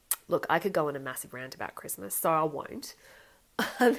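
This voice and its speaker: A woman with an Australian accent speaks with vocal fry and very wide pitch swings in a very clean recording with a silent background. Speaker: podcast host. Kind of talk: casual solo podcast talk.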